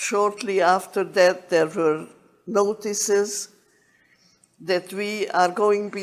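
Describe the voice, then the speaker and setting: Speaking very slowly at a medium pitch, a woman with a Hungarian accent keeps a monotone, flat intonation. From Uzhhorod, Czechoslovakia (Carpathian Ruthenia). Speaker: Holocaust survivor. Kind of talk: testimony.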